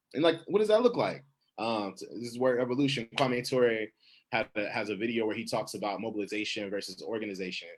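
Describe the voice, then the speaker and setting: At a very fast pace, a man talks at medium pitch with ordinary pitch variation. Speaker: poet. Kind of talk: panel discussion. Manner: halting, many fillers.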